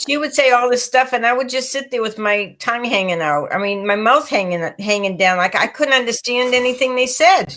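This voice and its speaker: A woman talks at a fairly quick pace in a high voice. She has an American accent. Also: lively intonation, hardly any pauses. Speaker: psychic reader and co-host. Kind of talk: casual chat.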